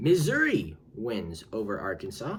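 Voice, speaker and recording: A man with vocal fry and very wide pitch swings. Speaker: sports YouTuber. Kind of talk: casual commentary video. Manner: animated.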